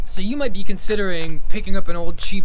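A man talks at a fairly quick pace with ordinary pitch variation. Light background noise is present. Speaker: motorcycle hobbyist vlogger. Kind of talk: casual vlog chat. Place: garage.

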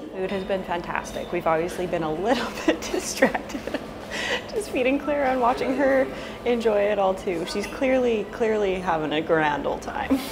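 Noticeable noise fills the background. Through it, a woman talks at a moderate speed. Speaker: travel vlogger. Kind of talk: casual vlog chat. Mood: cheerful, enthusiastic. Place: cafe. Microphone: lapel.

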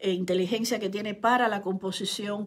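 A woman talks with fairly even intonation. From Cuba. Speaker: writer and online commentator. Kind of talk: live stream monologue.

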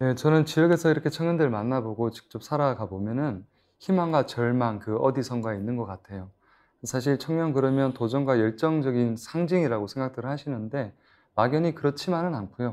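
Speaking at a fairly quick pace, a man uses an unremarkable speaking voice of medium pitch with ordinary pitch variation. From Daegu, South Korea. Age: 30s. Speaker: startup founder. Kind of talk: panel discussion. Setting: studio.

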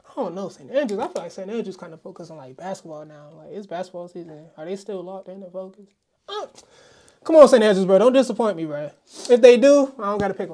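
A woman at a medium pitch speaks very fast with lively intonation and big swings in loudness. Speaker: sports podcast co-host. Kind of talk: casual chat.

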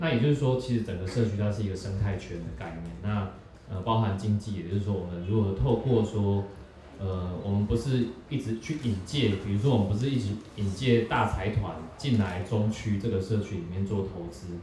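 A man with a fairly low pitch is heard with audible room echo. Light background noise sits behind him. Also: ordinary pitch variation, moderate pace. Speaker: social work student and event organizer. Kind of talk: audience self-introduction. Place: cafe.

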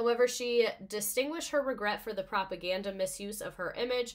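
Her tone is animated and her pace fairly quick. The woman's background is quiet. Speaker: livestream host presenting a history topic. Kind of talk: casual livestream presentation with slides. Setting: live stream with viewer chat. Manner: animated, excitable. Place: home room.

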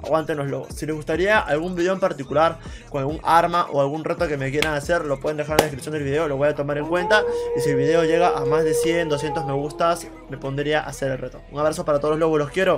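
Against clear music in the background, a man talks at a very fast pace. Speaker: gaming streamer. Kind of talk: casual vlog chat. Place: home room.

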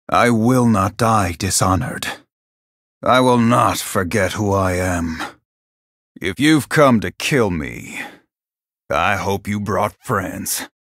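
Using a put-on character voice, a man speaks raspy and fairly low with lively intonation at a fairly slow pace, taking long, frequent pauses on a very clean recording with a silent background. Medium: video game voice lines. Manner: stoic, brooding.

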